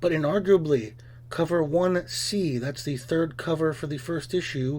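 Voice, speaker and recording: With ordinary movement in pitch, this voice carries a somewhat breathy quality. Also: man. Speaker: comic book reviewer. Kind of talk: scripted review. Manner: fast.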